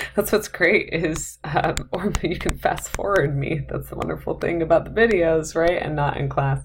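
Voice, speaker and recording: A woman keeps a moderate pace with hardly any pauses through noticeable background noise. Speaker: math instructor. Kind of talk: lecture. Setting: recorded video lecture.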